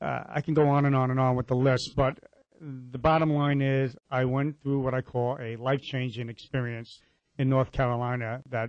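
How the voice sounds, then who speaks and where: A man with an unremarkable speaking voice talks at a moderate pace in a medium pitch, with fairly even intonation. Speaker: inspirational speaker. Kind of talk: interview; motivational talk.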